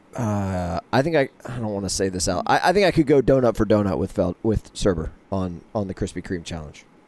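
Talking at a fairly quick pace with hardly any pauses, a man uses an unremarkable speaking voice, fairly low in pitch, with lively intonation. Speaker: podcast co-host. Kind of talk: casual chat.

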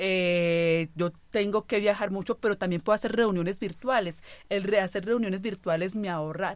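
A woman's normal speaking voice, a normal speaking voice at medium pitch, fairly slow and fairly even in intonation, in a very clean recording with a silent background. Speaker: bacteriologist, blood bank director. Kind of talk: radio panel conversation. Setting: radio studio.

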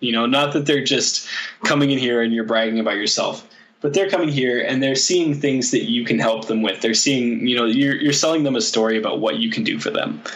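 A man talks at a fairly quick pace and medium pitch with very even loudness. Noticeable background noise runs underneath. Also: ordinary pitch variation. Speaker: guest. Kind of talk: casual interview chat.

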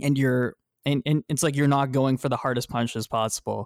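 Speaking at a moderate pace with an American accent, a man with a plain, everyday voice and a fairly high pitch shows ordinary pitch variation in a very clean recording with a silent background and a dry, close sound with no echo. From Texas. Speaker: podcast co-host, competitive gamer. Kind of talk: casual chat.

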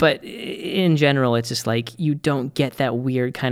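An ordinary speaking voice from a man with an American accent, ordinary pitch variation, and a very clean recording with a silent background. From Boston, US. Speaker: podcast co-host. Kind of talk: casual chat.

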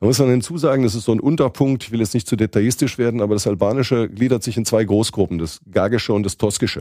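Delivered at a very fast pace, the voice has a dark, mellow tone and ordinary pitch variation. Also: man, medium pitch for a man. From southwestern Germany (Mannheim area). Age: 50s. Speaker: journalist and Balkan expert. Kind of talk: podcast interview.

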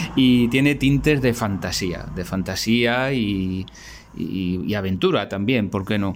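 With a fairly low pitch, a man talks at a very slow pace. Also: ordinary pitch variation. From Spain. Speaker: artisan and amateur writer. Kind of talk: recorded voice message. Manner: halting, repeats words.

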